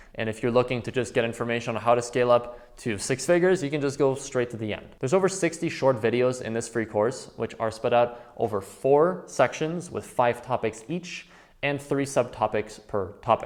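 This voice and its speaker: Speaking with a Quebec accent, a man keeps a fairly quick pace and hardly pauses. His pitch is medium, with ordinary variation. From Quebec, Canada. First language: French. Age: 20s. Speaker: trading educator. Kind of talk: course introduction.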